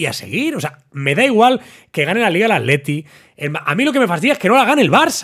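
Against a quiet background, the speaker talks at a fairly quick pace in an animated tone with very wide pitch swings. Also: man. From Barcelona, Spain. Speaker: football commentator YouTuber. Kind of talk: casual monologue to camera. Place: studio. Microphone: studio mic.

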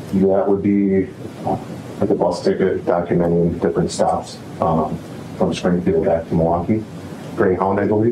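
Amid noticeable background noise, a man with a very deep, low voice speaks in a monotone, flat intonation at a moderate pace with long, frequent pauses. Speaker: police detective, crime scene investigator. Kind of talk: witness testimony. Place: hall. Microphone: podium.

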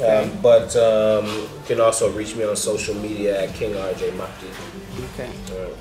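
Noticeable background noise under a man with an American accent, moderately paced. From US South. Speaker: real estate developer; interview guest. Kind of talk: interview. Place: cafe. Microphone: phone near.

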